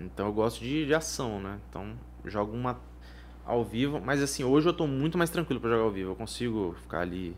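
Pitched fairly low, a man speaks at a fairly quick pace with vocal fry and very wide pitch swings. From Vitória, Espírito Santo, Brazil. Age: 20s. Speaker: professional poker player. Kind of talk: casual interview. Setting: studio.

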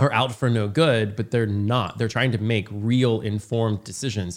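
In an American accent, a man with a normal speaking voice talks at a moderate pace with fairly even intonation. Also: very clean recording, silent background. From rural Indiana. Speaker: podcast host. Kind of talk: casual interview.

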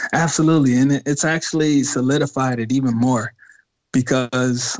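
A man with an American accent talks in a plain, everyday voice at a moderate pace, his medium pitch carried on fairly even intonation. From US Midwest, Detroit area. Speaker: hip hop artist. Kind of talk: interview.

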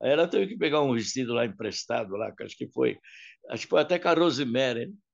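A man's voice with vocal fry and lively intonation. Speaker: singer and artist manager. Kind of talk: interview storytelling.

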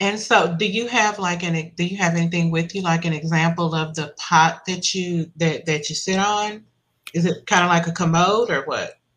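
Speaking at a moderate pace, a woman has a normal speaking voice, a fairly low pitch, and fairly even intonation. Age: 50s. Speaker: podcast host. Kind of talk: interview.

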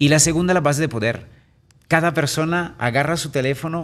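A man speaks with an Italian accent at a moderate pace. The background is quiet. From Italy. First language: Italian (speaking Spanish). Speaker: real estate entrepreneur and speaker. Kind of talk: interview. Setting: radio studio.

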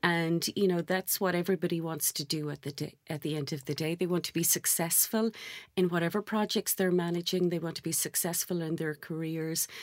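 A woman with an Irish accent and a fairly low pitch speaks very fast with fairly even intonation in a very clean recording with a silent background. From Ireland. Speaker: sales director. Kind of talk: interview. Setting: studio.

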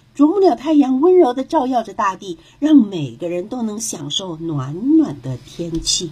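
A woman with a gentle, animated tone and fairly high pitch, very wide pitch swings, a fairly slow pace and hardly any pauses, amid noticeable background noise. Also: big swings in loudness. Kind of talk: children's fairy-tale narration, scripted storytelling read aloud.

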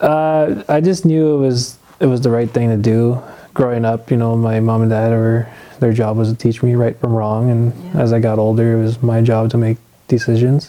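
A plain, everyday voice talks at a moderate pace. Its intonation is fairly even and its loudness very even. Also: man, medium pitch for a man. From Ontario, Canada. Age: 20s. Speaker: young father sharing faith story. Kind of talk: testimony interview.

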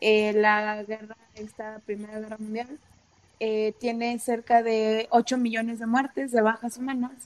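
A woman with a Mexican accent speaks at a fairly high pitch in a monotone, flat way. Her loudness swings a great deal. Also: fairly slow pace. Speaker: podcast host. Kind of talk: casual chat.

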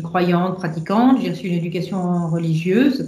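Her voice is somewhat breathy, medium in pitch, with a dark, mellow tone, at a fairly slow pace. Audible room echo surrounds the woman. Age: 50s. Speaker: engineer and energy executive. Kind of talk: interview about faith and career. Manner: hesitant, many filler sounds.

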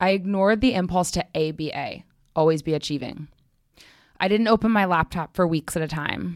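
A plain, everyday voice from a woman, fairly low in pitch with ordinary pitch variation, in a very clean recording with a silent background and a dry, close sound free of echo. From New York City (Manhattan). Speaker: marketing director. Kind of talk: interview conversation; personal essay reading.

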